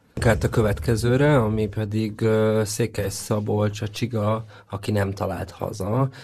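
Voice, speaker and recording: Delivery is fairly slow, with fairly even intonation. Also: man, fairly low pitch for a man. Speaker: literary critic panelist. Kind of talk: casual discussion of children's books. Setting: studio.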